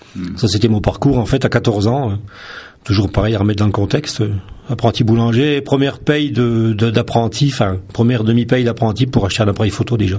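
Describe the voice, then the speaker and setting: A man races along at a very fast pace while noticeable background noise fills the recording. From France, Vosges (Lorraine). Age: 50s. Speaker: photographer. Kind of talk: radio interview. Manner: hesitant, many fillers.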